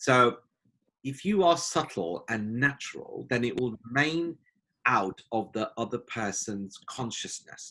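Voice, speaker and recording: A man in a British accent uses a bright, sharp tone with very wide pitch swings. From United Kingdom. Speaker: life coach. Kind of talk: podcast teaching talk.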